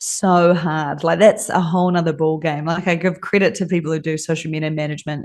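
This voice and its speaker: In a plain, everyday voice, a woman talks at a fairly low pitch with fairly even intonation. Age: 30s. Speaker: design agency owner. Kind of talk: interview. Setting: video call from a friend's office.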